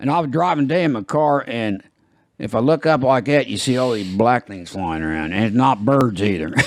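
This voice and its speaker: A man with an American accent talks at a fairly quick pace with very wide pitch swings on a very clean recording with a silent background. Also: medium pitch for a man. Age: old. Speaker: podcast host. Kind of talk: casual chat.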